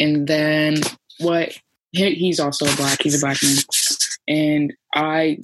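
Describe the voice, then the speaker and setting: Very slow pace from a woman with a very deep, low pitch and fairly even intonation. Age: 20s. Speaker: college student and protester. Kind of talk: interview. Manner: hesitant, many fillers.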